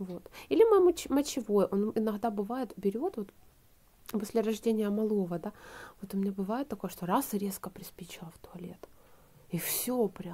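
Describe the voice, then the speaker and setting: Somewhat breathy with a dark, mellow tone, the voice moves at a moderate pace, with long, frequent pauses, big swings in loudness and ordinary pitch variation. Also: woman, medium pitch for a woman. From Ukraine, Donbas; Ukraine. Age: 20s. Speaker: video blogger; vlogger. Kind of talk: casual vlog chat. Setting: at home, drinking tea before bed. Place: home room. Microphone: phone near.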